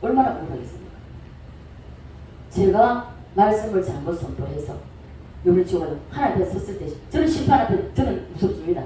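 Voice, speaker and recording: Music plays in the background as an intense voice moves at a fairly quick pace. Long pauses come often. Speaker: pastor. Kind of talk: sermon. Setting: church service. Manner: forceful, intense delivery.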